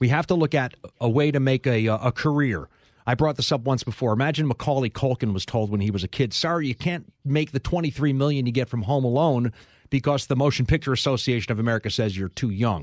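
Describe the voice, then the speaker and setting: Very fast speech comes from a man at medium pitch with ordinary pitch variation, the sound dry and close with no echo. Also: quiet background. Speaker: sports reporter. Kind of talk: lively debate. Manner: energetic.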